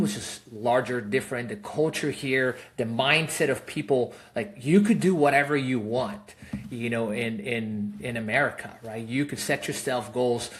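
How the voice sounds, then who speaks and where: This man speaks at a moderate pace with a Spanish accent, his medium-pitched voice carrying lively intonation. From Peru. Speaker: real estate investor, fund founder. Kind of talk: podcast interview. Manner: casual, many fillers.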